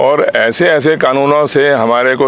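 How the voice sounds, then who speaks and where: Noticeable background noise runs through the clip. A man speaks with fairly even intonation. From Haryana, India (Bhiwani district). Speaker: party founder, politician. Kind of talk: interview.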